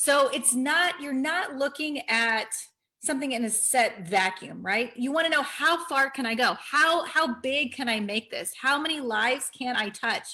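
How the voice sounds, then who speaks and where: A woman projects a raised, high voice with a bright, sharp tone, speaking fairly slowly with ordinary pitch variation. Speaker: pharmacist giving health and life tips. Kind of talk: motivational vlog talk.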